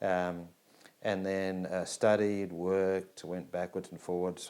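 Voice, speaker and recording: A man with an Australian accent speaks at a very deep, low pitch. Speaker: business school dean. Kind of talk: personal introduction interview.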